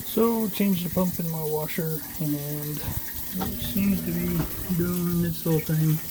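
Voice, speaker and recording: The voice is quiet and very slow, set against noticeable background noise. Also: man. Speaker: DIY home repairer. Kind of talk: casual how-to video. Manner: quiet, hushed.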